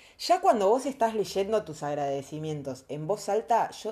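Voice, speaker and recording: Lively intonation marks this woman's dark, mellow tone. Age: 30s. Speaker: podcaster. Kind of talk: casual monologue.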